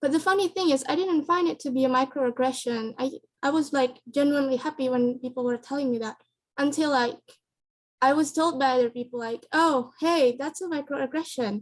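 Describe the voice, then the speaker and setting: At a fairly quick pace, a woman with a non-native accent speaks in a high voice with ordinary pitch variation. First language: not English. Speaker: student panelist. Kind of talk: panel discussion. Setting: video call.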